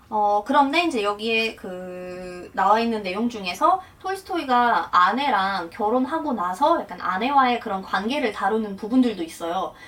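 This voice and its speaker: Over noticeable background noise, a woman with a Russian accent speaks at a moderate pace with lively intonation. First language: Russian (speaking Korean). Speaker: translator and interpreter, vlogger. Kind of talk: casual explanatory vlog talk.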